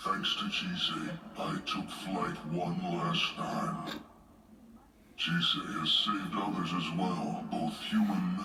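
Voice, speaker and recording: In a cartoonish character voice, a man speaks at a very slow pace with a calm tone, over loud background noise and a clear echo. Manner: calm, archaic, measured.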